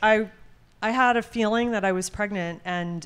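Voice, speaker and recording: With an American accent, a woman speaks at a moderate pace. Hers is an ordinary speaking voice with ordinary pitch variation. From New Jersey. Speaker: podcast guest, host's mother. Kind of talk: casual chat.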